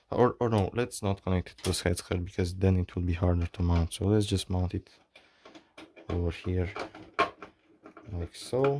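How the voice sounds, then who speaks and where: The speaker has a non-native accent and a moderate pace. Long, frequent pauses break up the speech. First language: not English. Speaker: maker / hobbyist YouTuber. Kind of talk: tutorial. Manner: halting. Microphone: bad audio early in video.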